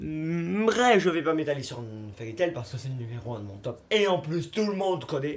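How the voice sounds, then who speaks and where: A man's fairly high voice with very wide pitch swings, big jumps in loudness, and a moderate pace. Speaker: YouTuber. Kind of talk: casual vlog monologue.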